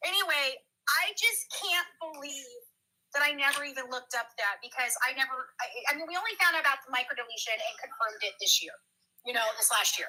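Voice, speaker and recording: A woman's raised, projected voice, high in pitch, bright and sharp, with an animated tone, very wide pitch swings and a fairly quick pace. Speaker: true crime commentator. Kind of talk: casual chat. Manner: loud.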